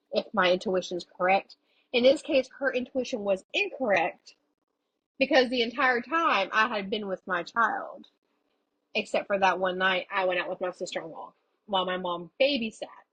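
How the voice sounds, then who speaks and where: Her pitch fairly high and her intonation lively, a woman speaks with an American accent. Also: moderate pace. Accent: strong Southern country accent when drinking. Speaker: podcast host. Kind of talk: casual chat.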